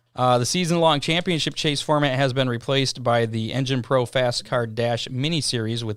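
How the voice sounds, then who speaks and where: At a moderate pace, a man with medium pitch and ordinary pitch variation speaks in an ordinary speaking voice. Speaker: racing news host. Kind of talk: podcast news read.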